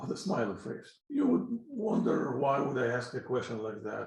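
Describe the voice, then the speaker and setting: A man speaks with a Russian accent, and audible room echo surrounds his voice. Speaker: physics teacher. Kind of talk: lecture. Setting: pre-recorded lecture. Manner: halting.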